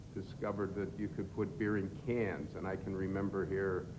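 A man speaks at a moderate pace in a fairly low voice. Noticeable background noise sits behind him. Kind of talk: interview answer. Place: factory.

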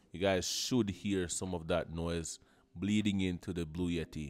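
A man's very deep, low voice at a fairly slow pace with fairly even intonation, faint music in the background. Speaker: tech reviewer. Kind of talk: tutorial. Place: home room. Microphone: studio mic.

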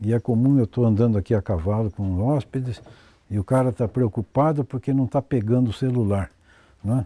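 The man's tone is dark and mellow, with ordinary pitch variation and very even loudness. He talks at a fairly quick pace in a dry sound with no echo. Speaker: farm owner. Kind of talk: interview. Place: garden.

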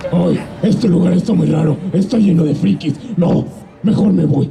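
With clear background noise behind it, a put-on character voice at a middle pitch moves at a moderate pace. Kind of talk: improvised comic dubbing on stage. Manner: hesitant, amateur comic delivery.

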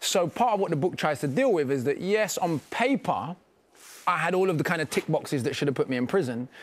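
A man with a London accent talks at a very fast pace with lively intonation. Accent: British, London. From London, England. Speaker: rapper and author. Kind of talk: interview answer. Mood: calm, reflective. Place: studio.

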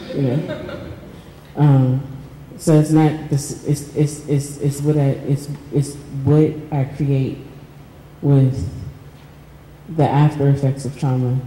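A woman with an American accent and a very deep, low pitch speaks very slowly in a monotone, flat intonation with long, frequent pauses, amid audible room echo and light background noise. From Pittsburgh, US. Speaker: artist and writer; panelist. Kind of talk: reading aloud and panel discussion. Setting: stage with audience. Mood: reflective, personal. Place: hall. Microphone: handheld.

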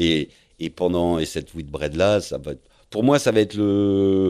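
A man's very deep, low voice, varying in pitch in a normal way, comes through on a very clean recording with total background silence. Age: 50s. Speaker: professional sailor. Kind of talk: interview, life story. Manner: hesitant, many fillers.

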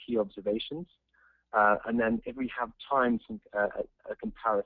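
A man speaks at a moderate pace with a strong English accent and fairly even intonation. The background is quiet, and the sound is dry with no echo. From England. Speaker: polo coaching presenter. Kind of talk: webinar presentation. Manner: hesitant, many fillers. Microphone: video call.

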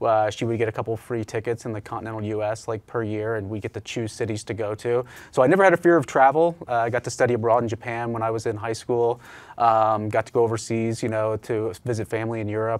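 Very fast-talking man with a Midwestern American accent and fairly even intonation. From Indiana (Richmond); Indiana. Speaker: business owner; guest. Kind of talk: interview. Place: studio. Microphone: lapel.

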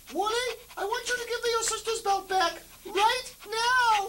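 The put-on character voice is extremely high in pitch and moves at a moderate pace. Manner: exasperated, scolding.

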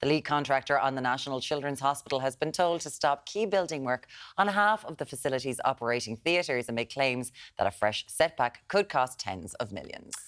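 The speaker talks at a fairly quick pace in an Irish accent against a quiet background. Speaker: breakfast TV presenter. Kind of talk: live breakfast TV presenting. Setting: TV studio.

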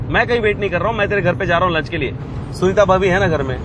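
Music plays behind a man whose voice sounds dry, with no echo. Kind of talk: acted phone conversation. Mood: annoyed, protesting. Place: car.

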